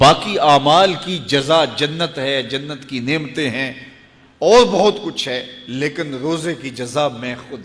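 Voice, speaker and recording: With noticeable background noise behind him, a man speaks with ordinary pitch variation. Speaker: Islamic preacher. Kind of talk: Islamic sermon (bayan).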